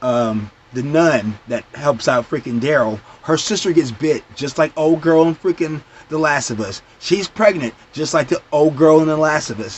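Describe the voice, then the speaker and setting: Animated and lively in intonation, a man with a fairly high pitch speaks at a moderate pace. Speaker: TV show reviewer. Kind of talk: casual vlog review.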